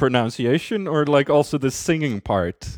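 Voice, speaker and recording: Heard in a very clean recording with a silent background, a man speaks with a Swedish accent. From Sweden, Skåne. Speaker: guest, native speaker. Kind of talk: casual interview.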